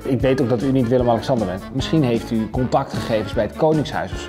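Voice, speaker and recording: Someone talks at a very fast pace with ordinary pitch variation as clear music plays in the background. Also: man. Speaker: presenter. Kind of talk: comedic presenter chat. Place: home room.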